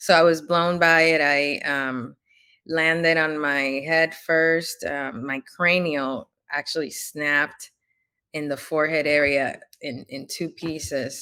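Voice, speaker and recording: A woman with a Spanish accent speaks fairly slowly in a very deep, low pitch, her tone bright and sharp and her intonation fairly even. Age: 30s. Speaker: author and entrepreneur, Navy veteran. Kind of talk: interview. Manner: halting, many fillers.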